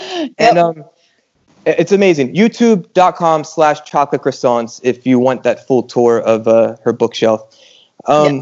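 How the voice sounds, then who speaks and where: A man has an unremarkable speaking voice, fairly high in pitch. He goes at a fairly slow pace with lively intonation. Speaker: podcast host. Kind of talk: casual chat. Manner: humorous.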